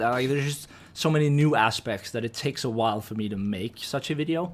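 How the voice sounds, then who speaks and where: Medium pitch from a man, delivered at a fairly quick pace. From Denmark. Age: 20s. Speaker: video game streamer. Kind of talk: live stream chat, reading and answering viewer messages. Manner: casual, with many fillers and restarts.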